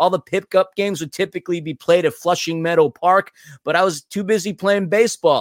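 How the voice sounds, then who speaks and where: A man with a New York accent speaks at a very fast pace in a high pitch. The sound is dry and close, with no echo. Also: very clean recording, silent background. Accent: New York American. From New York City. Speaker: podcast host. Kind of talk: casual podcast chat.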